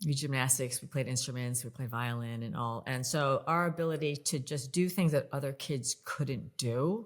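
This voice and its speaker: A woman's very deep, low pitch with ordinary variation, an American accent, a moderate pace and hardly any pauses, on a very clean recording with a silent background. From upstate New York, US. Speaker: leadership author, communication coach. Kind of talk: interview conversation.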